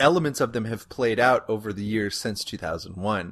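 Against a quiet background, a man with an American accent and an unremarkable speaking voice talks at a moderate pace with lively intonation. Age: 30s. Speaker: podcast host, historian. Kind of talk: comedic casual chat.

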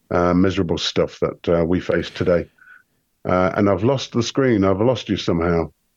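In an English accent, a man speaks at a moderate pace with a very deep, low pitch and ordinary pitch variation. His loudness stays very even against a quiet background. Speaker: conspiracy researcher. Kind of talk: casual chat.

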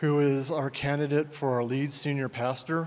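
A man speaks in a fairly high voice at a moderate pace. His intonation stays flat and monotone. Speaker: church elder. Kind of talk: introduction speech. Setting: church. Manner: reserved.

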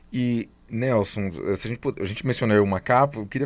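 The speaker is a man with a medium pitch. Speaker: podcast host, music institute director. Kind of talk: interview.

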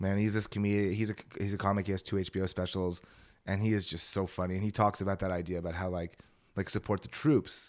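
A man's fairly low voice with a Montreal accent, at a very fast pace. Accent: Montreal Anglo Canadian English. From Montreal, Canada. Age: 30s. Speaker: stand-up comic. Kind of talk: casual chat in a podcast interview, with comedic storytelling. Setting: podcast studio. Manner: animated, rambling, profane and self-deprecating.

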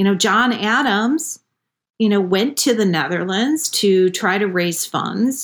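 In a very clean recording with a silent background, a woman with a fairly high pitch speaks in an unremarkable speaking voice at a fairly slow pace. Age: 50s. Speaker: wellness and gardening expert. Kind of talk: interview.

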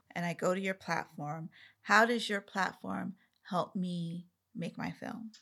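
A woman speaks at a fairly slow pace. Her tone is bright and sharp, and her intonation fairly even. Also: medium pitch for a woman, very clean recording, silent background. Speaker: podcast host. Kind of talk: casual interview chat. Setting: studio. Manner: soft-spoken.

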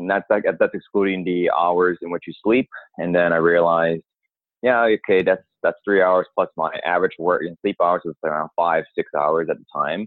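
A man with an American accent speaks at a very deep, low pitch. His intonation stays fairly even. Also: moderate pace. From New York. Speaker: dentist.

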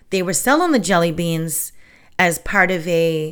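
At a very slow pace, a woman speaks at a fairly low pitch on a very clean recording with a silent background. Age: 50s. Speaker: podcast host on witchcraft. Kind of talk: casual solo talk. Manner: chatty, filler-heavy.

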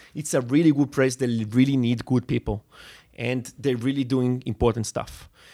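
A man speaks in an Israeli accent at a medium pitch and a moderate pace. The sound is dry and close with no echo, on a very clean recording with a silent background. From Israel, Netanya. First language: Hebrew. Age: 30s. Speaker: tech entrepreneur. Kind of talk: interview. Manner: halting, frequent fillers.

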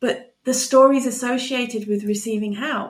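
In a calm, soothing tone, a woman talks at a moderate pace with fairly even intonation. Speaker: nurturing coach. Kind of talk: casual interview chat.

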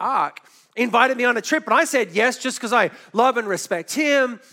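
Speaking in an Australian accent at a moderate pace, a man raises and projects a voice of extremely high pitch. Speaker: pastor. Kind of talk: sermon. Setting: church.

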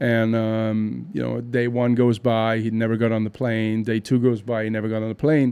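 Monotone, flat delivery from a man at a medium pitch, dark and mellow in tone, at a moderate pace. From Germany, near Cologne. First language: German. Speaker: concert promoter and artist manager. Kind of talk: interview. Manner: halting, many fillers and repeats.

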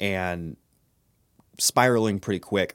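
With an American accent, a man talks at a fairly slow pace with ordinary pitch variation on a very clean recording with a silent background. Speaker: youth pastor. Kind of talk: devotional talk.

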